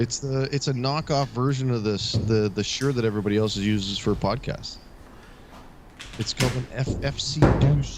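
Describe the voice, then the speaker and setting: Amid noticeable background noise, a man speaks at a moderate pace with ordinary pitch variation. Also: medium pitch for a man. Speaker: craps shooter and former carnival announcer. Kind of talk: casual chat. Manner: halting, repeating words.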